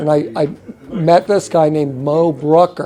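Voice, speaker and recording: A high-pitched man speaks with fairly even intonation over noticeable background noise. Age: 70s. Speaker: artist and video maker receiving an award. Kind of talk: acceptance speech and interview. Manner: halting.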